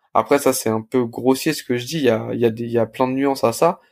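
A man at medium pitch and a fairly quick pace, dry and close with no echo, on a very clean recording with a silent background. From Paris suburbs, France (Blanc-Mesnil). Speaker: restaurant co-founder. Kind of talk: casual interview. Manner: hesitant, many fillers and repetitions.

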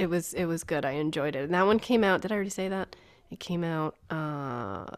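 Lively intonation marks a woman's fairly low-pitched voice. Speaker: podcast host at a bookshop. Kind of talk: casual chat. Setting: video call.

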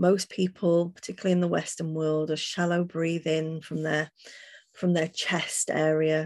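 A woman's fairly low, soothing, calm voice at a fairly slow pace, monotone and flat in intonation, over a quiet background. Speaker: healer and angelic channel. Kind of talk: guided meditation, leading listeners through breathing and visualisation. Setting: podcast interview. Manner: slow, soothing, calm and gentle, with long pauses.

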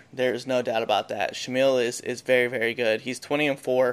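In a very clean recording with a silent background, a man with a medium pitch talks at a moderate pace in a normal speaking voice. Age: 30s. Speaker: MMA podcast host. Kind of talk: casual sports chat.

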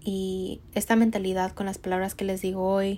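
In a very clean recording with a silent background, a woman speaks at a medium pitch with a dark, mellow tone and monotone, flat intonation. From Mexico. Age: 20s. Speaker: podcast host and entrepreneur. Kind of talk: motivational monologue.

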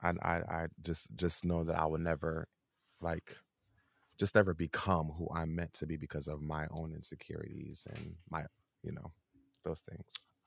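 At a moderate pace, the speaker talks in a flat monotone broken by long, frequent pauses. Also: man, very deep, low pitch for a man. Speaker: podcast co-host. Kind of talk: casual chat.

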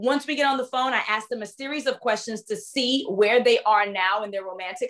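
A woman with a New York accent, passionate in tone, fairly quick, with ordinary pitch variation. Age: 30s. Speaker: dating and relationship coach. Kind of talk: interview. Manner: not soft-spoken.

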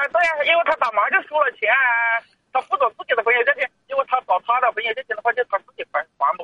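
Delivered very fast, the speech has lively intonation. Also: man, extremely high pitch for a man. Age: 40s. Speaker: caller, driving instructor. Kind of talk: radio call-in conversation.

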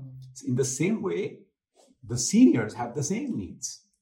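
A man speaks at a moderate pace with a dark, mellow tone and a somewhat breathy quality. His pitch swings very widely. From India. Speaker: podcast co-host. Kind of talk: interview. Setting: on location at a senior living facility.

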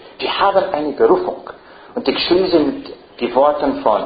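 There is audible room echo as a man talks. Noticeable background noise runs underneath. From Ireland. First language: English (speaking German). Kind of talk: lecture.

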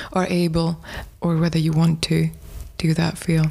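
With noticeable background noise behind her, a woman speaks at a moderate pace with a fairly low pitch. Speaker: podcast host. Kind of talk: interview conversation.

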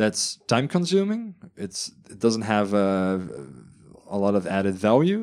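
In a Dutch accent, a man speaks at a fairly low pitch and a fairly slow pace, with lively intonation and big swings in loudness. He leaves long, frequent pauses against a quiet background. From Netherlands. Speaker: podcast co-host. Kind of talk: casual chat.

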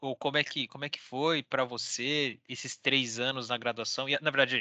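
Over a quiet background, a man speaks at a moderate pace in a medium pitch with a bright, sharp tone and fairly even intonation, the sound dry and close with no echo. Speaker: podcast host. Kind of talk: casual interview.

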